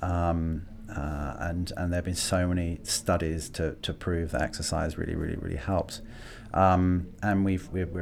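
A man speaks at a moderate pace with a London accent, his very deep, low voice keeping a fairly even intonation. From London (Greenwich). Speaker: tech company marketing executive. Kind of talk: interview. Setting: studio. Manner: hesitant, many fillers and repeats.

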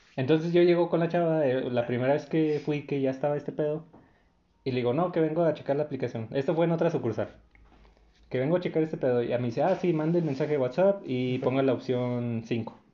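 The pitch moves in an ordinary way. The pace is very fast. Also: man, fairly high pitch for a man. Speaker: podcast co-host. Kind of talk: casual chat.

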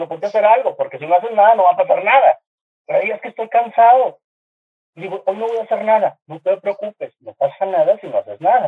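In a northern Mexican accent, a man talks at a very fast pace. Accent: northern Mexican (regio). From Monterrey, northern Mexico. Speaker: graphic designer and TV artist. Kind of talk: casual chat. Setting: video call. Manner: animated.

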